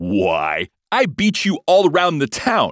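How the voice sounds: On a very clean recording with a silent background, a man uses a put-on character voice at a slow pace with very wide pitch swings. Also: fairly high pitch for a man, dry, close sound with no echo.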